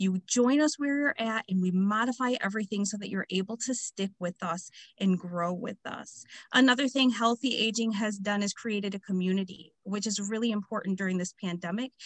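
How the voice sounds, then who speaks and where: Somewhat breathy, a woman speaks at a medium pitch with ordinary pitch variation. Her fairly quick delivery has a dry, close sound with no echo. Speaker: community program presenter. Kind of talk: webinar presentation.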